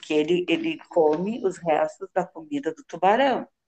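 A woman speaks at a fairly slow pace with a fairly low pitch and a dark, mellow tone. The sound is dry and close with no echo. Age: 60s. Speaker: police officer and psychologist. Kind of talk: interview.

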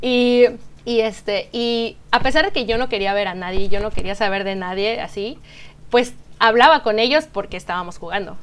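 With a plain, everyday voice, a woman speaks at a fairly high pitch and a moderate pace, her pitch varying in an ordinary way. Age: 30s. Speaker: pastry chef and bakery founder. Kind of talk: casual interview.

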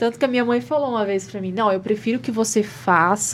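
Somewhat breathy and fairly high in pitch, a woman speaks at a fairly quick pace with ordinary pitch variation. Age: 20s. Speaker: beauty pageant queen. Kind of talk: casual interview chat.

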